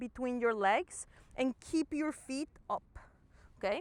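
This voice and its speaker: A calm tone at a very slow pace, with ordinary pitch variation and a dry, close sound with no echo. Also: woman. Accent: non-native. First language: not English. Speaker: movement and fitness instructor. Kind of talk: guided exercise class. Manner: calm, encouraging instruction.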